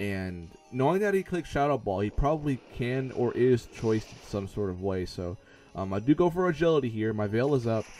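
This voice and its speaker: A man with a medium-pitched voice talks at a fairly quick pace, his pitch swinging very widely over music in the background. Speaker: gaming YouTuber. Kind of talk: gameplay commentary. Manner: fast.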